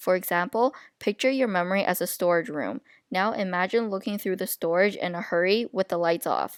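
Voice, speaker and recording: A woman speaks at a fairly quick pace and medium pitch. The sound is dry and close, with no echo. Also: ordinary pitch variation, very clean recording, silent background. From Japan, China and Canada (moved to Canada at eight). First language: not English (English is third language). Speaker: university education student. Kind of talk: class presentation, scripted narration. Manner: reading from a script.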